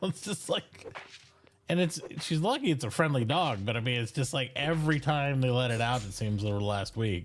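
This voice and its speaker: Amid noticeable background noise, a man talks at a fairly quick pace with lively intonation. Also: medium pitch for a man. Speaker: streamer. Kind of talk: casual chat. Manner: subdued.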